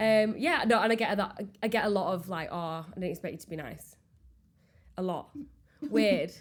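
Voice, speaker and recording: In a strong Yorkshire accent, a woman at medium pitch talks at a moderate pace with lively intonation, big swings in loudness and long, frequent pauses. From Yorkshire, England. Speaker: baker and small business owner. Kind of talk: casual chat. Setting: podcast recording.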